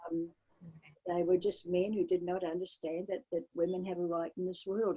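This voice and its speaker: With a New Zealand accent, a woman speaks at a moderate pace in a medium pitch, her tone dark and mellow and her pitch varying in an ordinary way. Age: 80s+. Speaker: polar explorer and adventurer. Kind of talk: interview.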